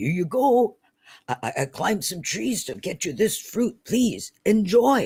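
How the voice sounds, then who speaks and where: In a put-on character voice, a man speaks at a fairly slow pace and a high pitch, recorded very cleanly against a silent background. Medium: read story.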